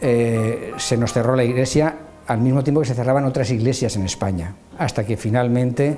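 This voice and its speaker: Noticeable background noise beneath fairly even intonation. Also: man. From Spain, Valencia. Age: 70s. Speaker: church member. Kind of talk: testimony. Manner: halting.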